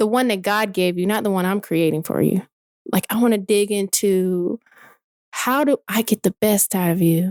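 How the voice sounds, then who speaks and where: In an American accent, a woman uses an ordinary speaking voice at medium pitch and a moderate pace, with ordinary pitch variation and very even loudness, the sound dry and close with no echo. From US South, Atlanta area, Georgia. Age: 40s. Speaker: entrepreneur. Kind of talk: casual interview conversation.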